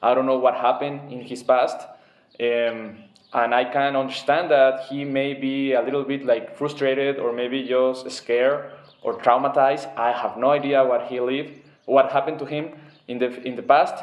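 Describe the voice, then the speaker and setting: Amid noticeable background noise, a man with a Spanish accent speaks at a moderate pace in a medium pitch with monotone, flat intonation. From Mexico. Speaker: former government security worker. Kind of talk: opinion monologue. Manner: halting.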